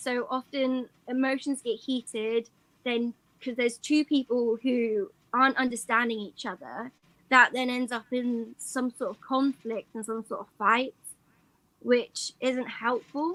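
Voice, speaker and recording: A woman speaks at a fairly slow pace in a high, bright, sharp tone with fairly even intonation. The sound is dry and close, with no echo. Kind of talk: interview answer.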